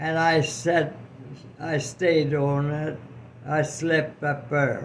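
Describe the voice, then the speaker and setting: A man speaks very slowly, his pitch fairly high. The intonation stays flat and monotone over noticeable background noise. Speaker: World War II veteran. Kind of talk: personal war memory told to family. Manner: slow, hesitant.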